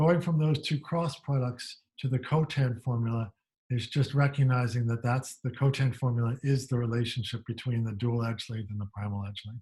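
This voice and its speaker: A man with a medium pitch and a dark, mellow tone speaks in a somewhat breathy way at a moderate pace, with fairly even intonation and hardly any pauses. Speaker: university lecturer. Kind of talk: lecture.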